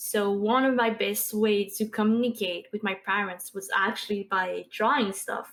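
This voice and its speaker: In a very clean recording with a silent background, a woman with a Quebec accent speaks at a medium pitch and moderate pace, with fairly even intonation and hardly any pauses. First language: French. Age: 20s. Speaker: Twitch streamer and artist. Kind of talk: casual interview chat.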